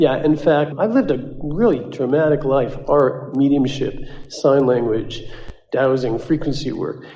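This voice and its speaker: Fairly slow speech with ordinary pitch variation, audible room echo, and noticeable background noise. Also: man, fairly high pitch for a man. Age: 60s. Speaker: workshop participant asking a question. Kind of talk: audience Q&A with a channeler.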